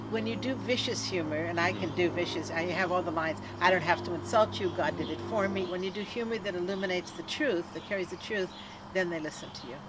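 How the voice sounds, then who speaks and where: A woman with a fairly low pitch talks at a very fast pace and with lively intonation. The recording carries audible room echo and noticeable background noise. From Canada. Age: 70s. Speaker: activist and former comedian. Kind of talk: interview. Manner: animated.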